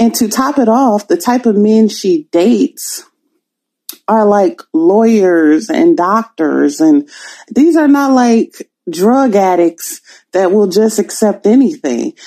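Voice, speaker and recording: Her dark, mellow, fairly high voice moves very slowly, with very wide pitch swings and very even loudness. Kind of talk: casual chat.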